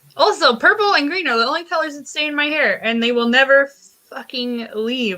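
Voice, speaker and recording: A woman with a high pitch and a bright, sharp tone speaks in a raised, projected voice at a moderate pace, her pitch swinging very widely. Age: 20s. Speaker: podcast guest. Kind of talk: casual chat.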